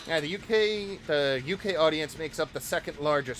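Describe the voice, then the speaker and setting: Over noticeable background noise, a man with a Boston accent speaks with lively intonation. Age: 20s. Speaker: gaming streamer. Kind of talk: live gameplay commentary. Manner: animated.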